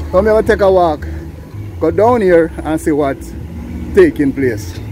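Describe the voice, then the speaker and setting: A man speaks at a moderate pace over noticeable background noise. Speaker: travel vlogger. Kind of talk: walking vlog narration. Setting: outdoors, walking in town. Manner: animated.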